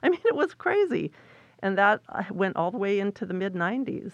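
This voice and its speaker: In an American accent, a woman with an unremarkable speaking voice and medium pitch talks at a moderate pace, the sound dry and close with no echo. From San Francisco Bay Area, US. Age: 60s. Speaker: ballet director and choreographer. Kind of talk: interview. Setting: studio.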